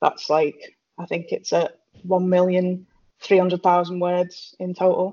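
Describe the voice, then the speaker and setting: A woman's fairly low voice at a fairly slow pace, with a British accent. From Britain. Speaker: author. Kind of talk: casual chat. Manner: hesitant, many fillers.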